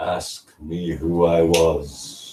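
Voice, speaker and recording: Using a put-on character voice, a man pitches it very deep and low. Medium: read story. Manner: slow, grave.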